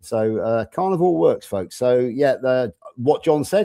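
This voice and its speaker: A man with a West Country accent talks at a moderate pace in a dark, mellow tone with very wide pitch swings, the sound dry and close with no echo. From England, Somerset (southwest). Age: 60s. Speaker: panel guest sharing diet story. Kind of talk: live stream panel chat.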